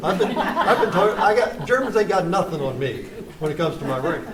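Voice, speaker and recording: A man with an American accent and lively intonation at a very fast pace, amid audible room echo and noticeable background noise. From West Virginia (Charleston area). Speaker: poet and playwright. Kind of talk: post-performance Q&A discussion. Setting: small theater with live audience, no sound system. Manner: halting, many repetitions and fillers.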